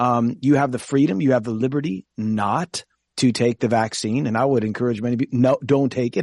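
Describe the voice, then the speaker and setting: A man with a normal speaking voice at medium pitch, ordinary pitch variation and a moderate pace, dry and close with no echo against a quiet background. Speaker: pastor and Bible teacher.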